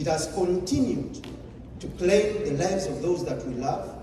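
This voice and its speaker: Over noticeable background noise and audible room echo, a man with a Ugandan accent speaks at a fairly slow pace. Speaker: public speaker. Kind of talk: motivational speech.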